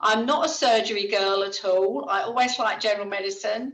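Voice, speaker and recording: Audible room echo follows a woman who talks at a moderate pace with ordinary pitch variation. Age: 60s. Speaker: hospital ward clerk. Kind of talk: retirement speech on video call. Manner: chatty.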